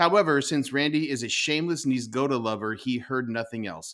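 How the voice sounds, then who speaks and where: In a very clean recording with a silent background, a man with a normal speaking voice talks at a fairly quick pace and a medium pitch. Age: 40s. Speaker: soccer podcast host. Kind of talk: casual chat.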